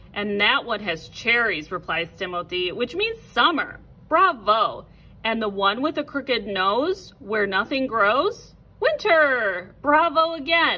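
A woman speaks at a very slow pace with a high pitch. Her voice makes very wide pitch swings. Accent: American. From American Midwest. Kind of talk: children's read-aloud.

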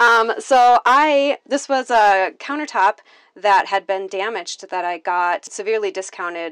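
In a quiet background, a woman with an American accent speaks at a fairly slow pace in a fairly high voice, her pitch swinging very widely. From Minnesota. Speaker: tiny house owner giving a tour. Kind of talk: home tour, casual chat. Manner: casual, with frequent fillers. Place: home room. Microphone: lapel.

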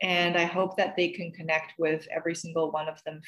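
A woman speaks in a fairly low pitch with monotone, flat intonation. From China. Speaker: actor. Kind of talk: interview.

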